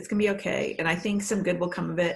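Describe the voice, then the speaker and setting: Against a quiet background, a woman with an American accent talks at a fairly quick pace, her medium-pitched voice somewhat breathy and her intonation fairly even. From Canada, then Massachusetts from age 10. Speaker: PR agency owner and poet. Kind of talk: casual interview.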